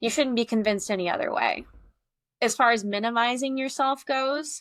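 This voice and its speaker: A woman with an American accent speaks at a moderate pace with lively intonation, on a very clean recording with a silent background. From Iowa, US Midwest. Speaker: artist. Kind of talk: podcast interview. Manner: loud.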